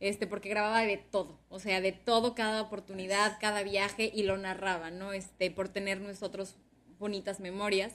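A woman talks at a moderate pace and a medium pitch. Her delivery is monotone, with flat intonation. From Sonora, Mexico (Ciudad Obregón). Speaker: communications professional and former radio/TV presenter. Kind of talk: interview.

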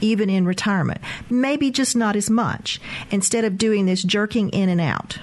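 An ordinary speaking voice from a woman rises and falls with ordinary pitch variation. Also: medium pitch for a woman, moderate pace, very even loudness. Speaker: financial advisor. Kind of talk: radio call-in show.

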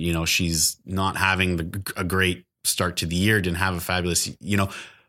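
With a Canadian accent, a man talks at a moderate pace in a very deep, low pitch and a bright, sharp tone, on a very clean recording with a silent background. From northern Ontario, Canada (small town). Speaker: real estate agent and podcast co-host. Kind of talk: casual interview chat. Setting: in-person on-camera recording.

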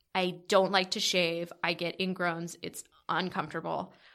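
Speaking with an American accent, a woman has a bright, sharp tone at medium pitch. The recording is very clean, with a silent background. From Southern California, San Diego. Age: 30s. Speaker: artist and comedy producer. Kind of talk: casual chat. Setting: studio, in person.

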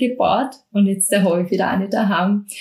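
Moderately paced, a woman with an unremarkable speaking voice keeps her intonation fairly even. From Austria, Mostviertel (Lower Austria). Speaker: bread expert and cooking instructor. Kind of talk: interview.

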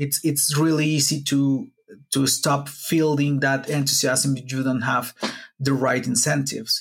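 Speaking fairly slowly in a monotone, flat way, a man with a Spanish accent has a fairly high, somewhat breathy voice. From Mexico, Puebla. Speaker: wikimedia activist. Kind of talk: casual interview. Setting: video call from home.

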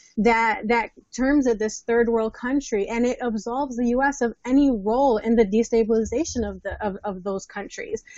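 A woman with an American accent and an ordinary speaking voice, fairly high in pitch, with ordinary pitch variation at a moderate pace. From New Jersey. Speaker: marriage and family therapist. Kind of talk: panel discussion.

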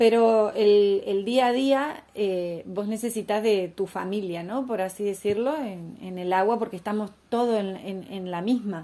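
A woman speaks with a medium pitch and a dark, mellow tone. Her pace is fairly slow. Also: ordinary pitch variation. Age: 40s. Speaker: former Olympic swimmer and entrepreneur. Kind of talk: interview.

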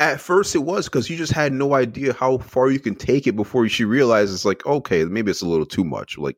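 Very wide pitch swings and vocal fry mark this fairly quick voice, captured dry and close with no echo in a very clean recording with a silent background. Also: man. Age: 40s. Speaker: sports podcaster. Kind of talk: casual chat.

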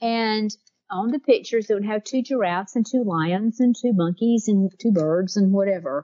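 A woman in a Southern US accent speaks at a fairly high pitch. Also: ordinary pitch variation, moderate pace. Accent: Southern US (Georgia). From US South, South Georgia. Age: 60s. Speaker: author and researcher. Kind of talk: interview.

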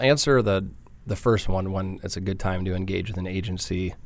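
Speaking at a moderate pace, this man has a very deep, low voice and fairly even intonation. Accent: slight Midwestern. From Michigan, Detroit area. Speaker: digital marketing agency founder. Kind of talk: interview.

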